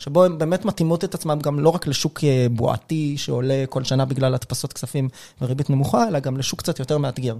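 A man's unremarkable speaking voice, fairly high in pitch with ordinary pitch variation, at a fairly quick pace. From Israel, Rishon LeZion. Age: 30s. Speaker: venture investor and podcaster. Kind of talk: interview.

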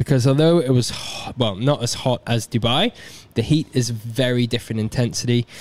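Fairly quick and at medium pitch, a man speaks in an unremarkable speaking voice with ordinary pitch variation and a dry, close sound with no echo. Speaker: ultra runner. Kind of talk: casual chat.

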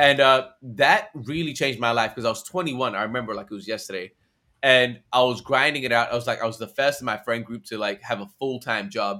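In an American accent, a man speaks at a fairly quick pace and medium pitch, his tone animated, bright and sharp. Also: ordinary pitch variation. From Australia. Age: 20s. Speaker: content creator and influencer manager. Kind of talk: casual interview chat. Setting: video call.

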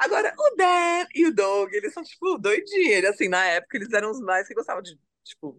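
A woman at a fairly quick pace, her pitch swinging very widely. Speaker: videographer. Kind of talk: casual chat.

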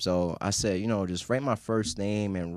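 Over a very clean recording with a silent background, a man with a New York accent speaks at a moderate pace in a fairly low pitch with fairly even intonation. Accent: New York English, Haitian family. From Queens, New York. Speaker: sports writer and filmmaker. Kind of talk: casual interview.

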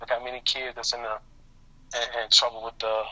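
A man at medium pitch speaks at a moderate pace with monotone, flat intonation over noticeable background noise. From Chicago. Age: 30s. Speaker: father of seven. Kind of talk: casual interview.

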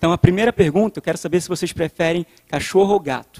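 A man with a Rio de Janeiro accent speaks very fast in a high voice with ordinary pitch variation. The recording is dry and close, with no echo. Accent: Rio de Janeiro chiado. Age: 30s. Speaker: youth preacher. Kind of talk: sermon.

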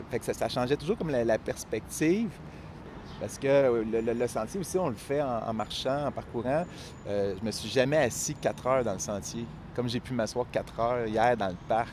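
In a Quebec accent, a man talks at a moderate pace with a medium pitch and ordinary pitch variation. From Quebec, Eastern Townships (Appalachian backcountry). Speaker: writer and teacher. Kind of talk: interview conversation. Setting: outdoors in a city park. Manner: hesitant, many fillers and repetitions.

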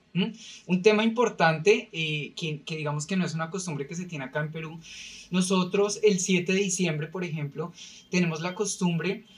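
High pitch from a man, with ordinary pitch variation at a moderate pace. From Colombia, Bogotá. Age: 30s. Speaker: podcast guest, company employee. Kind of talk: casual chat.

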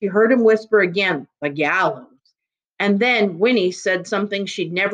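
An unforced reading voice, the background quiet

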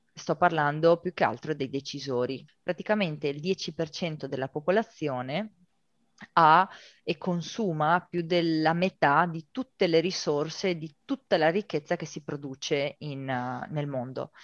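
Against a quiet background, a woman with a very deep, low pitch speaks at a fairly slow pace with ordinary pitch variation, in a dry, close sound with no echo. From Italy, Veneto (Rovigo). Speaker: sustainability consultant. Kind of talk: interview.

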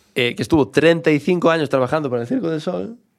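A man speaks at a fairly quick pace with a strong Galician accent. His pitch varies in an ordinary way. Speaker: comedian. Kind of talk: casual interview chat.

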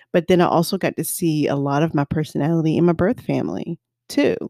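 A woman with an American accent, an unremarkable speaking voice, fairly low pitch and ordinary pitch variation, in a very clean recording with a silent background and a dry, close sound with no echo. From US South. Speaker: podcast co-host. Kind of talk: casual chat.

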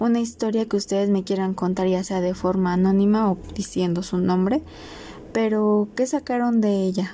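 A woman with a Mexican accent speaks at a medium pitch, her loudness very even and her intonation fairly even. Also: moderate pace. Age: 20s. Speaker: podcast host, biology student. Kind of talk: solo podcast introduction.

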